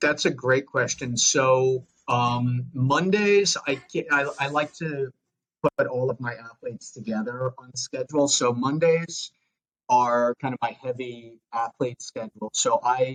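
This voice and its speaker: A man speaks at a fairly slow pace with a Long Island accent, his pitch medium and its variation ordinary. The sound is dry and close, with no echo. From US Northeast, Long Island, New York. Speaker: fitness coach and educator. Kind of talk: podcast interview. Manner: hesitant with fillers.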